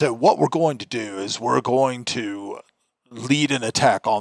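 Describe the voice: Over a quiet background, plain reading aloud carries lively intonation.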